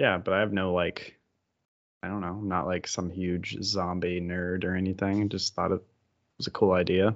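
Monotone, flat intonation at a moderate pace. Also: man, very deep, low pitch for a man. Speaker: podcast co-host. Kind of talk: casual banter. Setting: home office.

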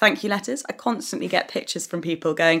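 A woman speaks at a medium pitch in a bright, sharp tone, with very wide swings in her pitch. The recording is very clean, with a silent background. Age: 30s. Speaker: journalist and podcast host. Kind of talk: interview.

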